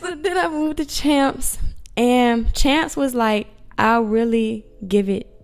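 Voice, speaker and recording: A woman with an American accent and lively intonation, with music in the background. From rural Virginia, US South. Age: 20s. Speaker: spa manager. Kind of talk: interview.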